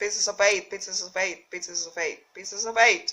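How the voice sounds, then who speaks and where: A put-on character voice, female-sounding, shrill and robotic at medium pitch. It moves at a moderate pace. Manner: repetitive, mechanical.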